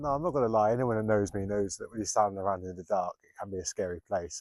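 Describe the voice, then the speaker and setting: A man whispers in a dry, close sound with no echo, captured in a very clean recording with a silent background. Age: 40s. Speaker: photographer. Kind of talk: vlog narration. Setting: outdoors. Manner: casual; whispering.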